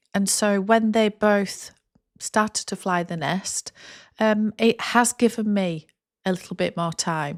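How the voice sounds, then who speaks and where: Recorded very cleanly with a silent background and a dry, close sound with no echo, a woman at a medium pitch speaks at a very slow pace. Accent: English. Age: 50s. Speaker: content creator. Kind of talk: casual talking-head vlog.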